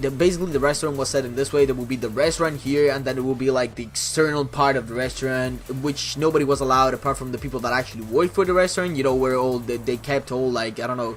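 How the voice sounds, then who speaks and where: Against noticeable background noise, the speech moves at a very fast pace with fairly even intonation. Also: man, medium pitch for a man. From Italy. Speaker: gaming YouTuber. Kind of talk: casual talk to camera. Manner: chatty, rambling.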